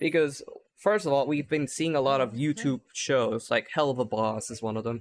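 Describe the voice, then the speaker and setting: A man's fairly high voice at a moderate pace, in a very clean recording with a silent background and a dry, close sound free of echo. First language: not English. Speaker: podcast host. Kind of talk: casual chat. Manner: animated.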